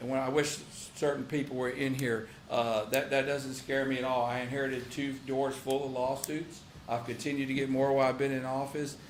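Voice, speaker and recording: Amid noticeable background noise and audible room echo, a man with a Texan accent talks at a fairly quick pace in a medium pitch with monotone, flat intonation. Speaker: county sheriff. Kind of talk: public meeting report. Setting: county commissioners' court session. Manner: fast.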